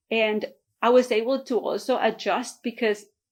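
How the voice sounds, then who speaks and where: A woman with a Spanish accent speaks at a fairly slow pace in a fairly high voice. The recording is very clean, with a silent background. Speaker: real estate agent. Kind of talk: motivational vlog talk.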